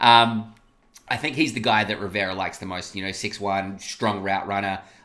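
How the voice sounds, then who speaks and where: In an Australian accent, a man with a fairly low pitch and bright, sharp tone speaks at a moderate pace with fairly even intonation. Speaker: sports podcast host. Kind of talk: casual sports discussion.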